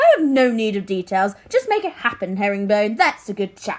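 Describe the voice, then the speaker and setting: A woman uses a put-on character voice at a fairly high pitch. It sounds breathy, delivered at a moderate pace. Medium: read story. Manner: airy, evasive.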